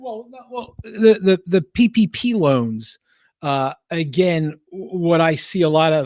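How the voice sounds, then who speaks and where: Speaking at a very slow pace, a man with a Philadelphia accent uses a high pitch and lively intonation. His loudness swings widely, and the sound is dry and close with no echo. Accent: Philly. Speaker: accountant. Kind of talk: casual live-stream Q&A. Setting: basement live stream, sharing one mic. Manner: animated, emphatic; halting, many fillers.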